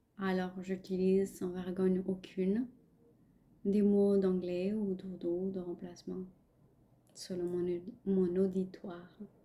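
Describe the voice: Slow and monotone, with flat intonation, a woman with a Pakistani accent speaks in a fairly low pitch and a dark, mellow tone.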